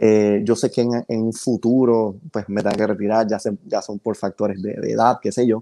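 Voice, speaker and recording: A man speaks at a moderate pace with a dark, mellow tone, monotone, flat intonation and hardly any pauses against a quiet background. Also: fairly low pitch for a man. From Panama. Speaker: photographer; podcast guest. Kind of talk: casual interview chat. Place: home room.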